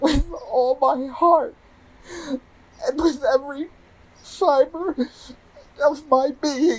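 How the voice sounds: Using a put-on character voice, a man speaks very slowly at an extremely high pitch with ordinary pitch variation.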